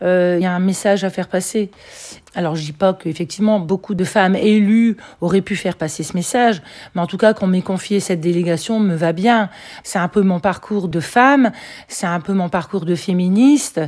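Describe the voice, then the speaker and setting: This woman has a plain, everyday voice. She talks at a moderate pace. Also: medium pitch for a woman, ordinary pitch variation. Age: 60s. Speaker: local politician. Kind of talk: interview.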